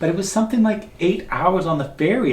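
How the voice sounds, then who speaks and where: A man races along at a very fast pace, with audible room echo and noticeable background noise around him. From Northern Ontario, French Canadian. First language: French. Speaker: podcast host, knitter. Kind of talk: casual chat.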